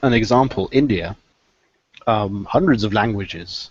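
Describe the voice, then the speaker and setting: Ordinary pitch variation in a southern English accent. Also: man. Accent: sounds southern English. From mixed British (half Scottish, half Welsh) and Swiss. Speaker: podcast panelist. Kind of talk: casual chat.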